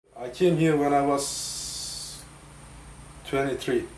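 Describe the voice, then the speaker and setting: Through audible room echo and noticeable background noise, a man with a Turkish accent speaks very slowly in a fairly high pitch. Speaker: interviewee, immigrant. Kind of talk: interview.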